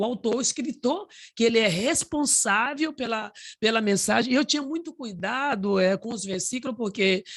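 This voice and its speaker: With a Bahian accent, a woman talks at a fairly quick pace in a high-pitched voice with lively intonation. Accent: Bahian Brazilian Portuguese. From Bahia, rural Brazil. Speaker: author and preacher. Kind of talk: casual advice talk. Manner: halting.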